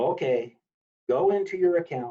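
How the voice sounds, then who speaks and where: Against a quiet background, a man speaks at a fairly slow pace in a dark, mellow tone with ordinary pitch variation. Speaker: 4-H software trainer. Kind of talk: training webinar. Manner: loud. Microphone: video call.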